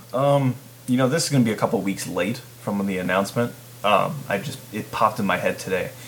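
Noticeable background noise accompanies a man speaking at a fairly quick pace with ordinary pitch variation. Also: medium pitch for a man. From Chicago region, US Midwest. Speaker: podcast host. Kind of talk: casual chat.

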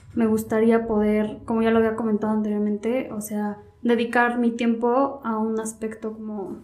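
A woman's fairly high, monotone voice with flat intonation, at a moderate pace, amid audible room echo. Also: hardly any pauses. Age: 20s. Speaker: law student. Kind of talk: casual chat.

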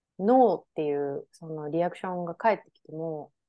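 Here is an ordinary speaking voice with lively intonation. The tempo is medium. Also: woman. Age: 30s. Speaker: podcast co-host. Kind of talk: casual chat.

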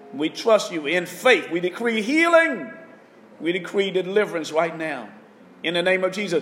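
A man's moderate pace comes through noticeable background noise. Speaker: pastor. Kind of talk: fervent intercessory prayer and healing declarations. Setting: online broadcast to listeners at home. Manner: impassioned, urgent, exhorting, pleading and proclaiming with rising intensity; repetitive, rhythmic, call-and-response style with commanding declarations.

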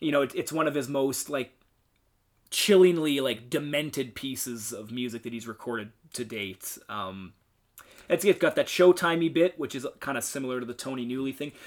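In a very clean recording with a silent background, a man speaks at a moderate pace with big swings in loudness. His medium-pitched voice is an unremarkable speaking voice. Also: ordinary pitch variation. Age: 20s. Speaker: podcast co-host. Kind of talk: casual chat.

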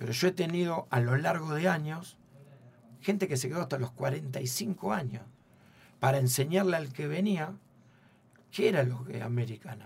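A man's fairly high, somewhat breathy voice with lively intonation and long, frequent pauses. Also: moderate pace. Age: 50s. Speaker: football coach. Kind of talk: radio interview.

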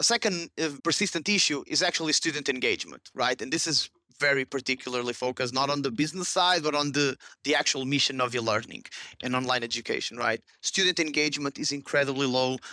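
A man talks very fast with a Portuguese accent, his pitch fairly high. The tone is bright and sharp, and the sound is dry and close with no echo. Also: ordinary pitch variation, very clean recording, silent background. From Portugal, Porto. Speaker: startup CEO. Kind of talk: interview. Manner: halting.

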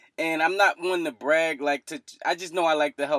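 A man talks at a fairly quick pace. The recording is very clean with a silent background and a dry, close sound with no echo. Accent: Philadelphia. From US East Coast, Philadelphia. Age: 20s. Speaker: mental health podcaster. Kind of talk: casual interview.

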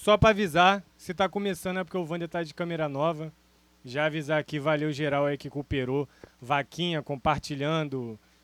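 A man with a plain, everyday voice talks at a moderate pace and fairly high pitch. His ordinary pitch variation comes through in a dry, close sound with no echo. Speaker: host. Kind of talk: casual chat. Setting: home studio. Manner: casual, slangy.

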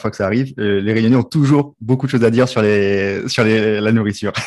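A man's medium-pitched voice at a very fast pace, fairly even intonation, on a very clean recording with a silent background. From Réunion. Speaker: podcast host. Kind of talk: casual interview. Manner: halting, repeats words.

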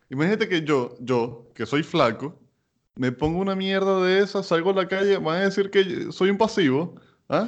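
A man speaks at a high pitch with lively intonation and a moderate pace. The background is quiet. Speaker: podcast host. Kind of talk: casual chat.

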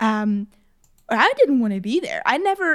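Here a woman has a plain, everyday voice with a fairly high pitch and lively intonation. She speaks at a moderate pace. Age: 20s. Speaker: podcast co-host. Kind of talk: casual chat.

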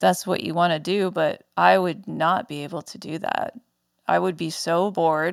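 Vocal fry at a moderate pace, with big swings in loudness, on a very clean recording over a silent background. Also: woman, fairly low pitch for a woman, ordinary pitch variation. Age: 30s. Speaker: podcast host and small business owner. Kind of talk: casual solo monologue.

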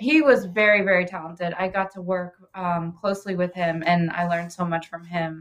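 The voice is an unremarkable speaking voice with an American accent. Intonation stays fairly even at a fairly quick pace. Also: woman, fairly low pitch for a woman. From Ohio (Oxford). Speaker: pastry chef and bakery owner. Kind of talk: casual interview chat.

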